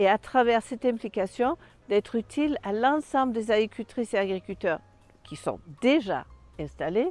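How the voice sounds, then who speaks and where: With a Danish accent, a woman talks at a fairly slow pace in a fairly high voice with lively intonation, the sound dry and close with no echo. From Denmark. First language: Danish (speaking French). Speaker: sheep farmer and agricultural representative. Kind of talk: self-presentation portrait.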